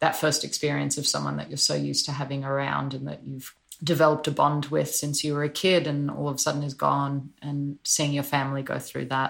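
The woman talks with an Australian accent. She moves along at a rather brisk speed. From Australia (Sydney). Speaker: musician. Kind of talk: interview.

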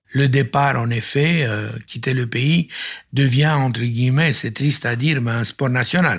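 A somewhat breathy man with a Romanian accent and medium pitch speaks at a fairly slow pace with fairly even intonation on a very clean recording with a silent background. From Romania, Transylvania. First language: Romanian (speaking French). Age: 70s. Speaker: architect. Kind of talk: testimony. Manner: halting.

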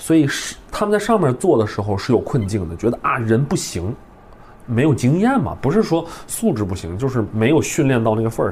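A man with a medium-pitched voice talks at a fairly quick pace with very wide pitch swings over noticeable background noise. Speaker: improv comedian and teacher. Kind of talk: casual chat.

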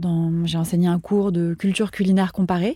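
A woman speaks fairly slowly at a fairly low pitch, with fairly even intonation, a somewhat breathy, dark, mellow tone, and a dry, close sound with no echo on a very clean recording with a silent background. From France, Paris. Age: 40s. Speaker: food journalist and radio columnist. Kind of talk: casual interview conversation.

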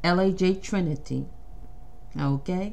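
Very slow speech from a woman of medium pitch, with audible room echo. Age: 50s. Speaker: podcast host and playwright. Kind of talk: casual monologue. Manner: halting, with frequent restarts.

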